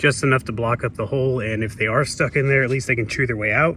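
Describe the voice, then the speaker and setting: A man talks in a plain, everyday voice. He moves at a fairly quick pace with ordinary pitch variation. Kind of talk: DIY video narration. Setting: outdoors at backyard shed. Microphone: poor audio quality, no fancy mic.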